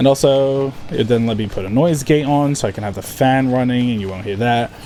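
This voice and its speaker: A man at medium pitch talks at a fairly quick pace with ordinary pitch variation, with noticeable background noise behind him. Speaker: gaming streamer. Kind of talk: casual live stream chat. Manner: sometimes slurs words.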